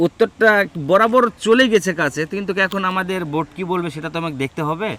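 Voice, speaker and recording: The man's voice is captured with a dry, close sound and no echo. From Bangladesh, Naogaon. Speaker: street quiz show host. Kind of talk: street quiz interview.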